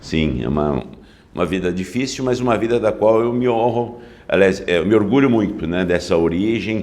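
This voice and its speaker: Audible room echo surrounds a man who speaks with vocal fry, a fairly low pitch and lively intonation. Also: moderate pace. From interior of São Paulo state, Brazil (Novo Horizonte). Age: 60s. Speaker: public prosecutor. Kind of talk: interview.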